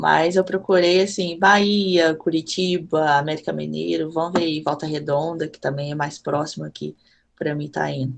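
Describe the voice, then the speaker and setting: In a Minas Gerais accent, a woman speaks at a moderate pace. Her pitch is very deep and low, with fairly even intonation. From Minas Gerais, Brazil (Juiz de Fora). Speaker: content creator and football fan. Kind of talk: casual podcast chat.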